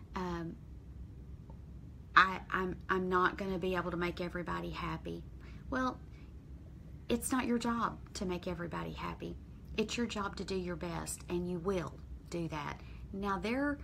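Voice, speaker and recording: The speaker has a Texas accent and a fairly slow pace. Long, frequent pauses punctuate speech that carries audible room echo. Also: woman. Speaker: weight loss vlogger. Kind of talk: live stream motivational talk.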